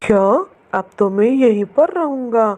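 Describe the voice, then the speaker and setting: A woman puts on a cartoonish character voice. Her pitch sits fairly high. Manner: lazy, gruff.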